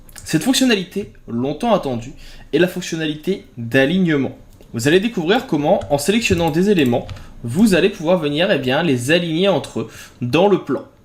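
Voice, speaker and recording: A man with a fairly high voice and lively intonation speaks at a moderate pace over noticeable background noise. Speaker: graphic design software tutor. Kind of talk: tutorial.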